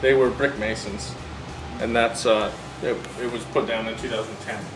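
Music plays in the background. A man is talking over it. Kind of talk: casual tour explanation. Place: bar. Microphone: phone near.

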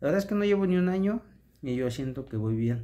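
A man speaks with a Mexican accent and a dark, mellow tone. His pitch swings very widely. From Mexico. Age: 30s. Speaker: vlogger. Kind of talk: casual vlog monologue. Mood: earnest, motivational. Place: home room. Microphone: phone near.

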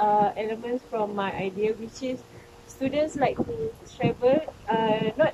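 Through noticeable background noise, a woman speaks at a very slow pace. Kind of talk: group discussion.

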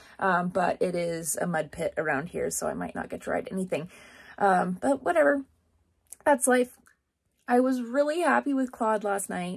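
In a somewhat breathy voice, a woman talks at a moderate pace with very wide pitch swings against a quiet background. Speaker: rodeo barrel racer vlogger. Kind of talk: casual vlog chat. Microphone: phone near.

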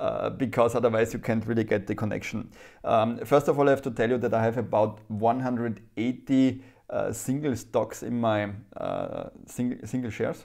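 A man with a German accent speaks fairly slowly in a monotone, flat intonation. The background stays quiet. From Germany. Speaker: private investor YouTuber. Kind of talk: casual vlog monologue. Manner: halting. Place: home room. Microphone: lapel.

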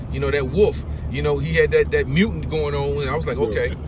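Over noticeable background noise, a man talks at a very fast pace in a dry sound with no echo. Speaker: youth basketball coach. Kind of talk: interview answer, storytelling. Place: car. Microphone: phone near.

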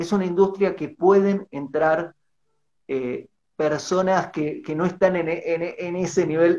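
The background is quiet as a man speaks at a moderate pace. His voice is high-pitched, and his intonation is fairly even. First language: Spanish. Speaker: livestream host and interviewer; livestream host, interviewer. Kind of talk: livestream interview. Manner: halting in English. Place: home room. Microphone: video call.

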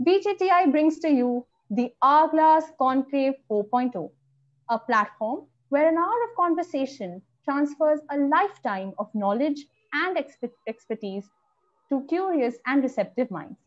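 At a fairly slow pace, a woman with a high pitch talks with big swings in loudness. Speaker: event host. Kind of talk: scripted introduction. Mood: cheerful, smiling. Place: home room. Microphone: video call.

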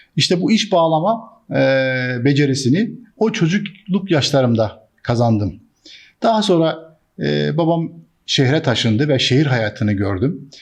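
Somewhat breathy, a man with a fairly high pitch speaks with very wide pitch swings and very even loudness. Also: quiet background. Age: 60s. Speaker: businessman. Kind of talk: monologue to camera. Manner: frequent hesitations.

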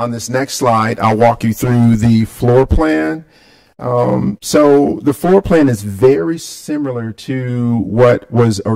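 Dark and mellow in tone, a man speaks very slowly with ordinary pitch variation. The background is quiet. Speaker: presenter. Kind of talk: presentation to a board. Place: hall.

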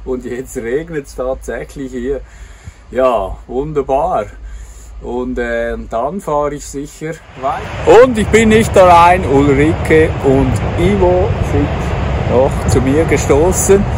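A man talks at a very slow pace, leaving long, frequent pauses. His loudness swings widely, the sound is dry with no echo, and background noise is noticeable. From Switzerland, Zurich; Switzerland. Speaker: travel vlogger. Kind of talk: travel vlog narration. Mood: cheerful. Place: open country. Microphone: phone near.

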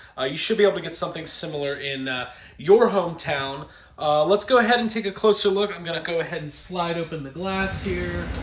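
Room echo can be heard as a man speaks at a fairly quick pace. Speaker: podcast host. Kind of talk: casual vlog chat. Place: home room.

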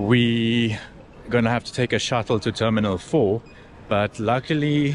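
An unremarkable speaking voice from a man, fairly low in pitch with ordinary pitch variation, at a fairly slow pace, dry with no echo, over light background noise. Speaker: travel vlogger. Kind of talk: casual vlog chat. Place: station. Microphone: phone near.

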